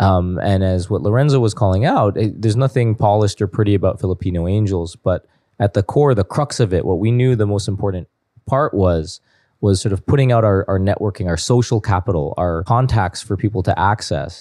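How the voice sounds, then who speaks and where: On a very clean recording with a silent background and a dry, close sound with no echo, a man with a Canadian accent speaks at a fairly quick pace in a dark, mellow tone with a fairly low pitch. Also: ordinary pitch variation, very even loudness. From Canada, Toronto. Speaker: tech investor and former software engineer. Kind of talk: casual interview chat.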